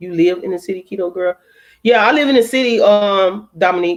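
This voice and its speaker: With an American accent, a woman talks at a moderate pace and a medium pitch, using lively intonation. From Chicago, US Midwest. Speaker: livestreamer. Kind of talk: casual chat. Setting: live stream. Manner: animated.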